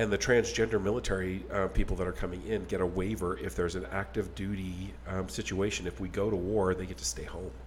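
Using vocal fry and an American accent, a man with a very deep, low pitch talks very fast. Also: lively intonation, hardly any pauses. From Texas. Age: 50s. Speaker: podcast host. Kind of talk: casual chat.

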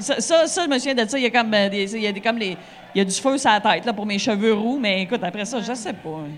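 Amid audible room echo, a woman talks at a fairly quick pace in a fairly high voice with lively intonation. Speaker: stand-up comedian. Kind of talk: casual chat. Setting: bar stage with live audience.

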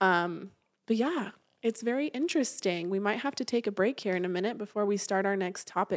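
Speaking at a fairly quick pace with an American accent, the voice shows ordinary pitch variation. The sound is dry and close with no echo, a very clean recording over a silent background. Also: woman, medium pitch for a woman. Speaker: podcast host and event planner. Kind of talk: casual chat. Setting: studio, sharing a mic.

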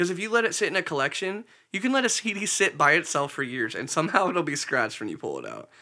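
A man speaks at a very fast pace in a high voice. His pitch swings very widely, and his loudness swings a lot. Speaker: podcast co-host and video editor. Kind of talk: casual chat.

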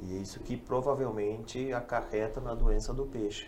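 Audible room echo around fairly even intonation. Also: man. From Brazil, western Paraná (Toledo). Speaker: fish farmer. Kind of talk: casual chat.

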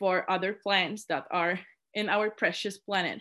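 A woman with a Polish accent talks at a moderate pace and medium pitch against a quiet background. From Poland. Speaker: student committee chair. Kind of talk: interview. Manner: halting.

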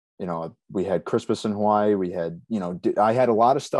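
At a fairly quick pace, a man with a fairly low pitch and fairly even intonation talks in an ordinary speaking voice, recorded dry and close with no echo against a quiet background. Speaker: sports play-by-play announcer. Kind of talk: casual interview.

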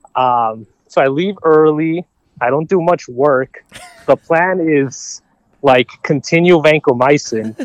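Very slow American-accented male voice, fairly high in pitch with ordinary pitch variation, in a dry, close sound with no echo. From Minnesota. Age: 20s. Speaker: medical student. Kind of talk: casual chat.

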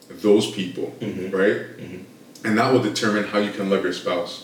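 Fairly low-pitched male voice amid noticeable background noise. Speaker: podcast host. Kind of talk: casual chat. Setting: studio. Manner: hesitant, filler-heavy.

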